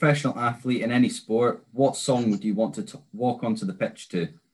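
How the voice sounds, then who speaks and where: The speaker talks at a moderate pace in an Aberdeen accent. Their intonation is lively. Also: man. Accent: Scottish, Aberdeen area. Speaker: interviewer, listener volunteer. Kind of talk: casual interview.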